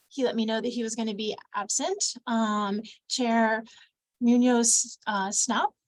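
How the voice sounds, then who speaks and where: A woman with an American accent talks at a fairly slow pace. Her fairly high voice keeps a fairly even intonation. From US South. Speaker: council administrator. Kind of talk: meeting roll call. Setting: video call.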